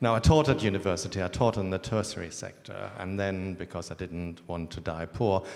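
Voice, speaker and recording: A man with a German accent speaks at a very deep, low pitch with fairly even intonation. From Germany. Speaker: school head. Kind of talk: panel discussion.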